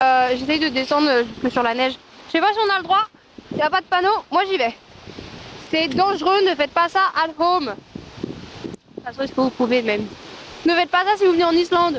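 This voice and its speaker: Loud, extremely high-pitched woman's voice at a fairly quick pace, lively intonation and long, frequent pauses over noticeable background noise. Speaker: travel vlogger. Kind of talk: casual vlog narration. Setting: outdoors in Iceland. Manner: animated, rambling with many fillers.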